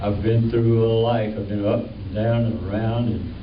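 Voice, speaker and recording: With a Southern US accent, a man at medium pitch speaks over noticeable background noise, with audible room echo. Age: 80s+. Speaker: cartoonist. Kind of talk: panel talk. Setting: stage with audience. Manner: halting.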